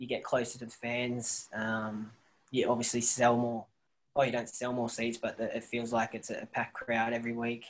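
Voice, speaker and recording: On a very clean recording with a silent background, a man with an Australian accent speaks at medium pitch in a monotone, flat delivery. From rural New South Wales, near Bathurst. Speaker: professional footballer. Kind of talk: casual interview.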